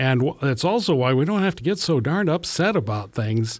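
Talking at a moderate pace, a man with an American accent speaks at medium pitch. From US Midwest, Iowa. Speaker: pastor. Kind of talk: casual chat.

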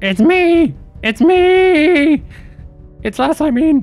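The voice is a put-on character voice, high in pitch and very slow. Faint music plays in the background. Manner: yelling.

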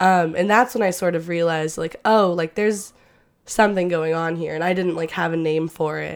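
An ordinary speaking voice with an American accent. The intonation stays fairly even. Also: woman, fairly low pitch for a woman, fairly quick pace. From Oklahoma. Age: 20s. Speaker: theater student. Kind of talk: casual interview.

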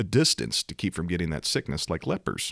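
A man talks at a fairly quick pace with vocal fry, in a dry, close sound with no echo. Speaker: Pentecostal podcaster and preacher. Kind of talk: sermon-style podcast monologue. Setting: studio microphone. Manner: energetic, animated, fiery.

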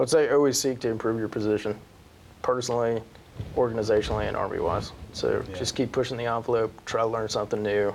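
On a very clean recording with a silent background, a man with a medium-pitched voice and an American accent talks very fast with fairly even intonation. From northeastern Pennsylvania. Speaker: army senior sergeant. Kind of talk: interview.

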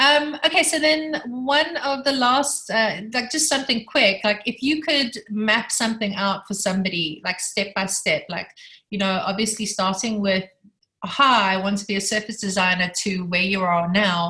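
Her tone bright and sharp, a woman speaks at a fairly high pitch. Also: lively intonation, moderate pace. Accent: non-native. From South Africa. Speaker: textile and graphic designer. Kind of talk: casual chat, asking questions.

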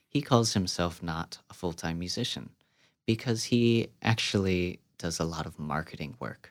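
A man with an American accent, very deep and low in pitch, with lively intonation. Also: moderate pace, very clean recording, silent background. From US Midwest. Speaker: composer and clarinetist. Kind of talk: interview conversation.

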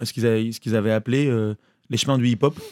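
A man at a medium pitch with ordinary pitch variation, on a very clean recording with a silent background and a dry, close sound with no echo. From western France (Maine-et-Loire, near Cholet). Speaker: musician. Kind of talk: casual chat.

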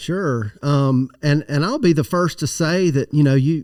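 A man with a Southern US accent and a dark, mellow tone, at a moderate pace with ordinary pitch variation, in a very clean recording with a silent background. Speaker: tree nursery expert, guest. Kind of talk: casual interview chat. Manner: enthusiastic, nerdy.

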